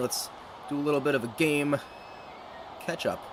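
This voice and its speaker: With an American accent, a man speaks at a fairly high pitch against noticeable background noise. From United States. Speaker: gaming streamer. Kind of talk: live commentary. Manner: animated.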